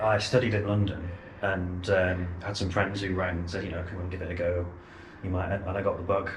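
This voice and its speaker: Very deep and low, a man's monotone voice rushes at a very fast pace with flat intonation, audible room echo and noticeable background noise. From northern England, Wigan. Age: young. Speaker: church bell ringer and teacher. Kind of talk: casual explanatory chat. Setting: church bell tower.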